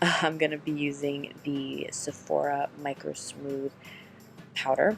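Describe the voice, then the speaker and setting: A soft-spoken woman talks at a very slow pace. Music plays in the background. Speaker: beauty vlogger. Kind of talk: makeup tutorial. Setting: home, filming late at night. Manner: quiet, ASMR-like.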